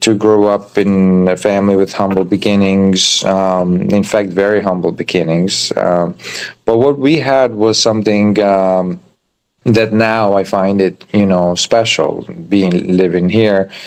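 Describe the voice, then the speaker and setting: A man with an Albanian accent speaks at a fairly low pitch. His pace is fairly slow and his intonation fairly even. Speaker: chef and restaurant owner. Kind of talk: interview. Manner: halting, many fillers.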